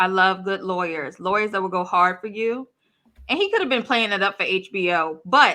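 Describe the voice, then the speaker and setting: At a moderate pace, a woman talks at medium pitch with ordinary pitch variation and a bright, sharp tone. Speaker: true crime youtuber. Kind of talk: casual chat.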